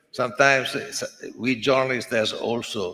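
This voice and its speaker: A bright, sharp tone with an Italian accent. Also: man. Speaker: sports journalist association president. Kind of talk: acceptance speech. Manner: halting.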